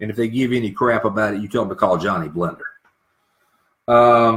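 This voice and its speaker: With a normal speaking voice, a man talks at a fairly quick pace and medium pitch with ordinary pitch variation. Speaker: radio show host. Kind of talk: live radio talk show.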